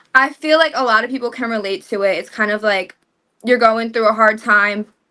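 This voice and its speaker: Speaking at a fairly quick pace, a woman has a fairly high pitch, a bright, sharp tone and ordinary pitch variation. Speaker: singer promoting debut album. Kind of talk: casual interview chat. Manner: fast.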